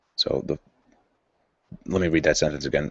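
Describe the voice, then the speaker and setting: A man's very deep, low voice. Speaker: channel host reading a book aloud. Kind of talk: reading aloud with commentary. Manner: casual, halting asides.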